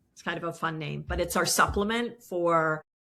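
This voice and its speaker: A woman talks at a fairly slow pace. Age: 60s. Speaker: business founder and CEO. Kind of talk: interview.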